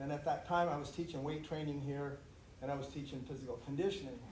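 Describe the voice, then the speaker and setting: A man's fairly high-pitched voice amid noticeable background noise and audible room echo. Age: 70s. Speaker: astronomy instructor and track coach. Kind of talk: casual storytelling to students on a field trip. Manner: animated, conversational.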